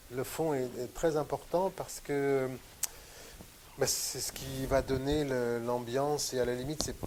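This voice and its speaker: A man's medium-pitched voice at a very slow pace, with fairly even intonation and long, frequent pauses. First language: Western Armenian (speaking French). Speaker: painter. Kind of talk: interview conversation. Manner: hesitant, many fillers.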